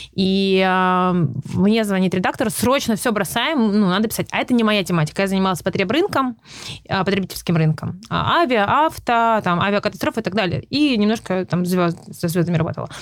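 A woman speaks at a moderate pace and a medium pitch. Her intonation is lively and her loudness very even. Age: 30s. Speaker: journalist and YouTuber. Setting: in person, studio in Los Angeles. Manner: halting, hesitant with fillers.

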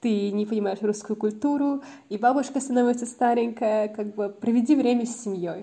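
Her dark, mellow tone holds a fairly even intonation as the woman speaks. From New Zealand (Auckland), born in Moscow. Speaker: mentor and corporate consultant. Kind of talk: interview. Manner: halting, many fillers and restarts.

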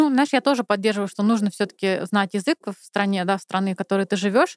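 At a fairly quick pace, a woman with a normal speaking voice and medium pitch talks with ordinary pitch variation in dry, close sound with no echo. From Moscow, Russia. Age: 30s. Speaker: podcast guest. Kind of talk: casual chat.

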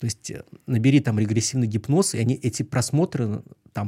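At a fairly quick pace, a man speaks with a medium pitch, ordinary pitch variation and a dark, mellow, somewhat breathy tone. The recording is very clean and dry, close with no echo and a silent background. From Pskov region, Russia. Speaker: former hypnotist, magician, psychologist. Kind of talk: casual chat; card trick demonstration.

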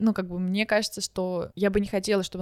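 The sound is dry and close with no echo as a woman talks at a very fast pace. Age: 20s. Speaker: podcast guest. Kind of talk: casual chat.

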